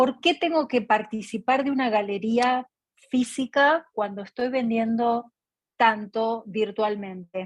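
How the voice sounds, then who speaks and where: A woman with an Argentine accent speaks at a very slow pace, her pitch fairly high with ordinary variation. The sound is dry and close with no echo. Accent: Argentine Spanish (Rioplatense). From Argentina. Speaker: artist, audience participant. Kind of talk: question in online Q&A session.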